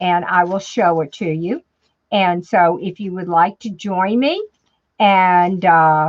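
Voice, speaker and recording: Speaking at a very slow pace, a woman keeps a medium pitch and fairly even intonation. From New Orleans, Louisiana. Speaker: crafter. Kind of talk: tutorial. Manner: chatty, casual with fillers.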